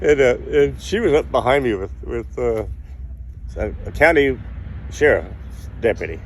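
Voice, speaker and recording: A man talks amid noticeable background noise. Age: 80s+. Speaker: sailor. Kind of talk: interview answer. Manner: casual, rambling.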